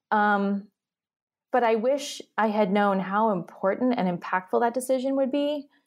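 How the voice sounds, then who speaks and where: Her pitch is fairly high and varies in an ordinary way, with a moderate pace, very even loudness, and a plain, everyday voice. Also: very clean recording, silent background. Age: 30s. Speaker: entrepreneur and company founder. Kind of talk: casual chat.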